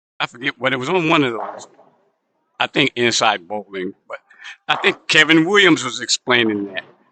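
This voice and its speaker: A man's medium-pitched voice with lively intonation at a moderate pace, dry and close with no echo. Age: 60s. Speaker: bowling livestream commentator. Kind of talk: live commentary, casual chat. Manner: halting, many false starts and fillers.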